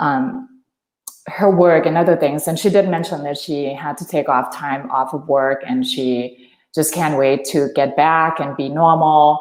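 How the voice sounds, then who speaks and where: A woman with a Thai accent speaks at a fairly slow pace in a very deep, low voice with ordinary pitch variation, on a very clean recording with a silent background. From Thailand. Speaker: energy healer. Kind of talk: interview. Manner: halting.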